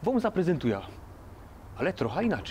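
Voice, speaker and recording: A man with a Silesian accent, very wide pitch swings, and light background noise. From Silesia, Poland. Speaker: cooking vlogger. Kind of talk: cooking show presentation.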